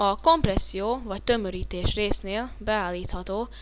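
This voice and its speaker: Audible room echo follows the woman as she talks at a very slow pace. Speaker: software tutorial instructor. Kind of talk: screen-recorded tutorial. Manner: halting, with fillers and stumbles.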